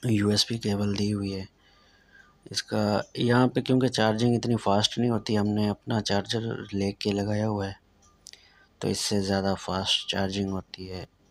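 In a Saraiki accent, a man speaks slowly-ish at a fairly low pitch, his intonation monotone and flat, at a fairly slow pace. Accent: Saraiki-accented Urdu. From Pakistan, Saraiki-speaking south Punjab. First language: Saraiki (speaking Hindi). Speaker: driving instructor. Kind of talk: tutorial. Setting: in a car. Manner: casual. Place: car. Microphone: phone near.

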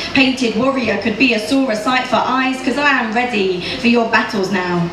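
Speaking in a fairly high pitch with ordinary pitch variation, a woman is heard with audible room echo and noticeable background noise. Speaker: poet. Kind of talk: live poetry slam performance. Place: stage.

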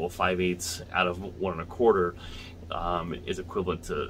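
A man with a very deep, low pitch talks while light background noise runs underneath. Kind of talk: tutorial. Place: home room. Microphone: phone near.

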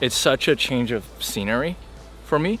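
A man talks at a moderate pace in a dry recording with no echo and light background noise. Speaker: vlogger. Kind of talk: casual vlog chat. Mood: cheerful, nostalgic. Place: forest. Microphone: phone near.

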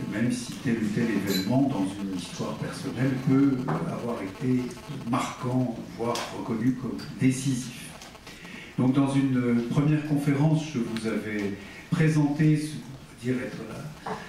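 Strong room echo and light background noise surround a man talking at a fairly slow pace with ordinary pitch variation. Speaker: philosophy lecturer. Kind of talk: lecture. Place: meeting room.

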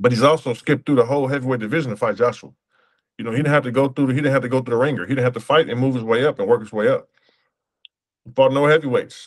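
A man with an American accent talks at a very fast pace. The background is quiet. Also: fairly even intonation. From USA. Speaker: professional boxer; interview guest. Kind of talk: interview. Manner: casual, relaxed. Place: home room. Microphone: video call.

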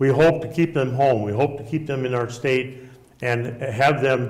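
Speaking with an American accent, a man holds a medium pitch and fairly even intonation. The background is quiet. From Nebraska. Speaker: state senator and retired school principal; candidate. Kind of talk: candidate forum debate. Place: studio. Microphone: lapel.

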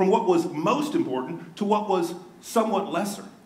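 The intonation is lively. It is an unforced reading voice.

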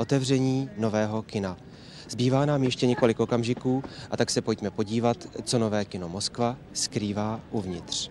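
Delivered at a moderate pace with ordinary pitch variation, the voice has a dry sound with no echo over light background noise. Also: man. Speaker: newsreel narrator. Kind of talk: 1977 Czechoslovak newsreel narration, scripted. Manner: formal, measured, authoritative official-sounding delivery; steady, even pace with propagandistic solemnity.

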